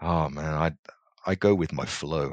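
In a British accent, a man speaks at a moderate pace. His pitch is very deep and low. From England (small town, UK). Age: 40s. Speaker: corporate executive development manager. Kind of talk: interview conversation.

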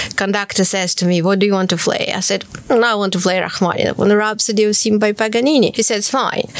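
Over noticeable background noise, a woman talks at a very fast pace, with a medium pitch and ordinary pitch variation. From Ukraine, Kharkiv. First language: Ukrainian or Russian. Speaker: pianist and composer. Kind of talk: interview.

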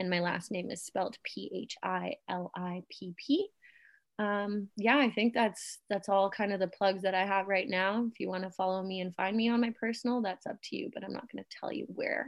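An ordinary speaking voice with a Canadian accent. It moves at a moderate pace with ordinary pitch variation. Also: woman, medium pitch for a woman. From Germany, moved to Canada at eight. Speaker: photographer. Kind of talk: casual chat.

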